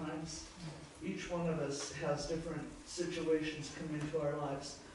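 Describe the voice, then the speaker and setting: Strong room echo and light background noise surround a voice moving at a fairly slow pace. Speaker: congregation member leading prayer. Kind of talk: public prayer. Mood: reverent, earnest. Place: church.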